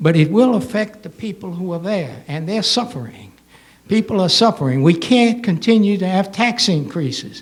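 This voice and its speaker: Lively intonation marks this man's high-pitched voice, delivered at a moderate pace. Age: 80s+. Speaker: public commenter, retired. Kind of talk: public comment at town hall. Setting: town hall meeting. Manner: halting; animated.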